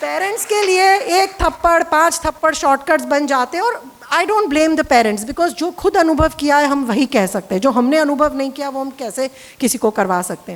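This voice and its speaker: Hardly pausing, a woman with a Gujarati accent speaks at a high pitch with very wide pitch swings. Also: moderate pace. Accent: Gujarati-accented Hindi. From Gujarat, India. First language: Gujarati (speaking Hindi). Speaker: therapist and parenting author. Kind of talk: casual talk to camera about her book. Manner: Hindi-English code-switching.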